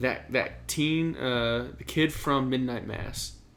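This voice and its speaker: Very slow speech from a man, with audible room echo. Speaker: podcast co-host. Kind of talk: casual chat.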